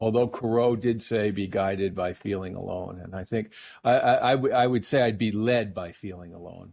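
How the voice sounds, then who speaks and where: A fairly low-pitched man with a New Jersey accent, a moderate pace, fairly even intonation, and big swings in loudness. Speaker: painter. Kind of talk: casual interview chat. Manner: warm, talkative, hesitant with fillers.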